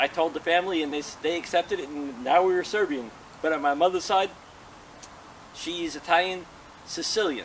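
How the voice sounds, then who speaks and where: A man with a high pitch speaks at a fairly quick pace, using ordinary pitch variation. He makes long, frequent pauses over noticeable background noise. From New Jersey, US. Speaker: interview guest. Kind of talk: interview.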